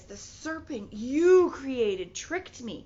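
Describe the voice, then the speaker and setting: A woman puts on a character voice, pitched high, with very wide swings up and down. She talks at a fairly slow pace. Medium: read story.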